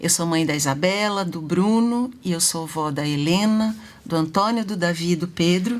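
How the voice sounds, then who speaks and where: A woman speaks at a fairly low pitch with ordinary pitch variation. Her pace is moderate, and the room echo is audible. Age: 60s. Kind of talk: live talk show interview.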